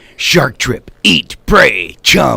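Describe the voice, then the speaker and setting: A man uses a raspy, put-on character voice in a dramatic tone. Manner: dramatic, deep announcer delivery.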